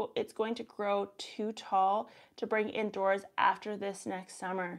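Against a quiet background, a woman with a Canadian accent speaks at a fairly high pitch with fairly even intonation. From Canada. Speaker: gardening YouTuber and soil scientist; gardening YouTuber. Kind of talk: casual live stream Q&A; live stream Q&A chat. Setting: live stream. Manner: upward sentence endings. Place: home room. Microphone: lapel.

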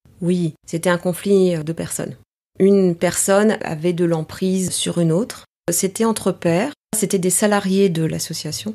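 Medium-pitched female speech with a dark, mellow tone. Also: ordinary pitch variation, fairly slow pace. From Paris, France (Greek parents). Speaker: executive and team coach. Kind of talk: interview.

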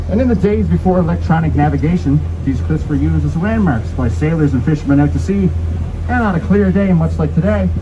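A man with a very deep, low pitch talks at a very fast pace and fairly even intonation. Noticeable background noise runs underneath. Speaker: boat tour guide. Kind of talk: tour guide narration. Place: boat.

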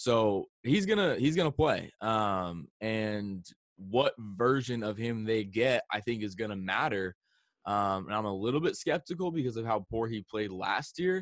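Against a quiet background, a man at medium pitch speaks fairly slowly with lively intonation and a dry sound with no echo. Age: 20s. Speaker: sports YouTuber. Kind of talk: casual chat. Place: home room. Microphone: studio mic.

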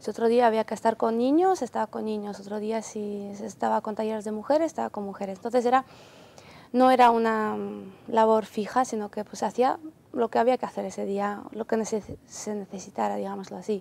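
Her tone is dark and mellow, with a fairly high pitch. The woman speaks at a fairly quick pace with fairly even intonation. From Ukraine. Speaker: volunteer aid worker. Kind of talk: TV interview.

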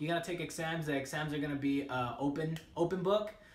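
Audible room echo surrounds a man speaking at a moderate pace. His fairly high voice shows ordinary pitch variation. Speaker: army trainee and video creator. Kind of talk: casual vlog advice. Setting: barracks room, recorded by roommate. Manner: rambling, casual. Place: home room. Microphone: phone near.

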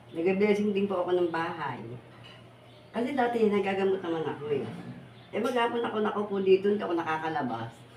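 Amid noticeable background noise and audible room echo, a woman speaks at a very fast pace with lively intonation and long, frequent pauses. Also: medium pitch for a woman. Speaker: folk healer and vlogger. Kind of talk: casual vlog talk.

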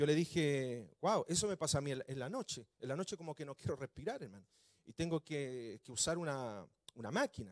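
A man with a fairly high pitch talks at a moderate pace, his intonation lively against a quiet background. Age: 40s. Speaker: pastor. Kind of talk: sermon. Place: church. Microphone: handheld.

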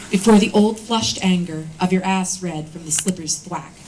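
Over noticeable background noise, a woman speaks at a medium pitch and moderate pace in a solemn, intense tone with ordinary pitch variation. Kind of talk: poem reading. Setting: live reading at a bookshop event. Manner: solemn, somber, intense tone.

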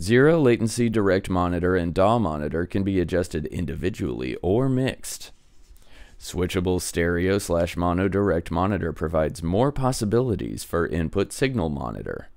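A man with a very deep, low voice and vocal fry speaks at a moderate pace. His pitch swings very widely, and the sound is dry with no echo. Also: quiet background. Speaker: gear reviewer. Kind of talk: reading product features for a mic test. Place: home room. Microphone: studio mic.

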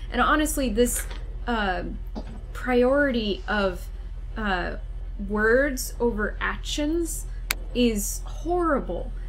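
Set against light background noise, a man with an extremely high pitch talks at a very slow pace with long, frequent pauses. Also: lively intonation. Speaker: co-host. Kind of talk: casual discussion. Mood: critical, earnest. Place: home room.

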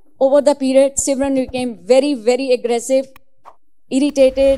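The voice has a dark, mellow tone and monotone, flat intonation. It moves at a fairly quick pace. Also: woman. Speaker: devotee sharing experiences. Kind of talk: testimony. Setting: religious gathering. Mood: earnest, emotional. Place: hall. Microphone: handheld.

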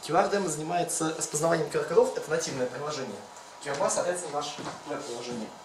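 Over noticeable background noise, a man talks at a very fast pace. His pitch is fairly high, with ordinary variation. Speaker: hackathon participant. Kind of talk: project presentation. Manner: halting. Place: meeting room. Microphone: camera far.

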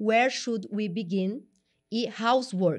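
Against a quiet background, a woman talks in an animated tone with ordinary pitch variation. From São Paulo, Brazil. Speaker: videocast host. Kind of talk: casual interview. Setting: studio.

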